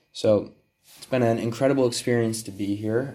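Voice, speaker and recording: At a moderate pace, a man with an American accent speaks in a dark, mellow tone. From Connecticut, US. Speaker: theater student. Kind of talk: casual solo monologue. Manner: halting, with many fillers.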